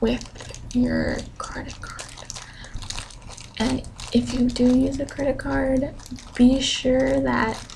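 A soft-spoken woman whispers at a very slow pace. There is light noise in the background. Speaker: ASMR content creator; college student. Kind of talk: ASMR ramble update to camera. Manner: soft-spoken, whispered. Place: home room. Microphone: studio mic.

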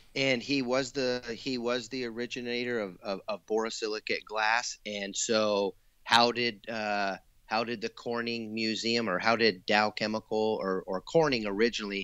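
This man has an ordinary speaking voice with a medium pitch. He talks at a moderate pace with fairly even intonation. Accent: American. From US Pacific Northwest, Eugene, Oregon. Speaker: glass artist. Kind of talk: casual chat.

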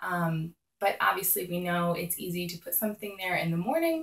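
Somewhat breathy, a woman speaks at a moderate pace against a quiet background with audible room echo. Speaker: mom lifestyle vlogger. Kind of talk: casual vlog tips. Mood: friendly, upbeat. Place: home room. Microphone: phone near.

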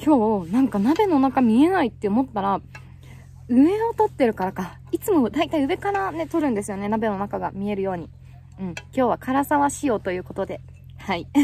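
Pitch swings very widely at a moderate pace. The sound is dry with no echo, over light background noise. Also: woman. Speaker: hiking vlogger. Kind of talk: casual vlog chat. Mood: cheerful, laughing. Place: open country. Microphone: phone near.

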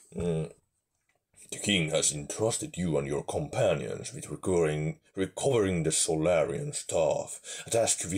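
Someone speaks in a put-on character voice at a fairly slow pace. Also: man, very deep, low pitch for a man. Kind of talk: epic fantasy narration. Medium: game stream. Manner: dramatic, grave.

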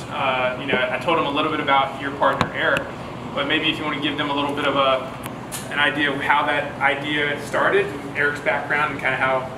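A man's fairly quick speech is heard against noticeable background noise. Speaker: company host presenting workshop. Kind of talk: workshop talk to audience. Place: bar. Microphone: handheld.

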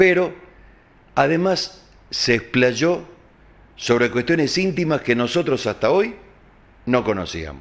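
A man's fairly high voice at a very slow pace, with lively intonation, very even loudness, and long, frequent pauses. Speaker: TV news host. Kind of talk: news commentary show. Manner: animated.

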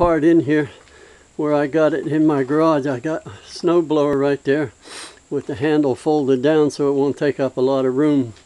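Speaking with an Appalachian accent, a man keeps a moderate pace. His fairly high voice has fairly even intonation. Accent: Appalachian American. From West Virginia. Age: 70s. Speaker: retired hobbyist vlogger. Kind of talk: casual show-and-tell video. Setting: outdoors at home. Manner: rambling, halting with many fillers. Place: garage. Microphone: phone near.

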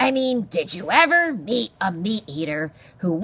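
Someone is reading text out loud. The delivery sounds natural.

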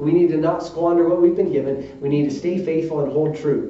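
There is audible room echo as a man speaks at a moderate pace. His pitch is fairly high. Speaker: Baptist preacher. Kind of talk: sermon preaching to a congregation. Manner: conversational, earnest. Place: church. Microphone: podium.

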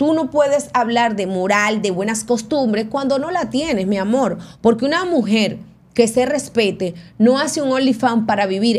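Her pitch is fairly high. This woman speaks with lively intonation. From Venezuela. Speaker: entertainment news show host. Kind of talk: casual chat. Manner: animated. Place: studio. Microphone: studio mic.

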